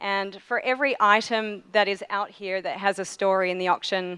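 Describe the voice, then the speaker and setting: A woman speaks with an ordinary speaking voice at a medium pitch. Her intonation is fairly even against a quiet background. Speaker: speaker thanking organizer. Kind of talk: thank-you speech. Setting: stage with audience. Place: hall. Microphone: podium.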